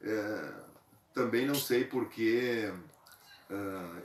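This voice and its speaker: A man talks with a southern Brazilian accent. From southern Brazil, western Santa Catarina. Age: 60s. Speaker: local cultural figure interviewed. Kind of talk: interview. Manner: hesitant, with filler sounds.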